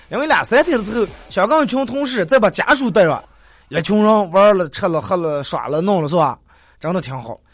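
Against a quiet background, a man with a high voice speaks at a fairly quick pace with very wide pitch swings. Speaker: radio talk show host. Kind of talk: dialect comedy talk show. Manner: animated.

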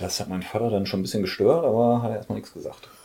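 A man talks at a very fast pace. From Ruhr area, Germany (Oberhausen). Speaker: music label owner. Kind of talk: casual chat. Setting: at home.

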